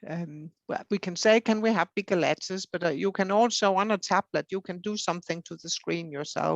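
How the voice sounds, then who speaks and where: A woman with a Danish accent talks at a moderate pace with ordinary pitch variation. The sound is dry and close with no echo, and the background is quiet. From Denmark. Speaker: hard of hearing advocate. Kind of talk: interview. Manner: hesitant, many fillers.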